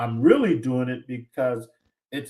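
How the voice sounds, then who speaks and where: A man with an American accent. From San Diego, California. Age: 60s. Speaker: podcast guest, aspiring educational consultant. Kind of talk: casual interview chat. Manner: many fillers and repetitions.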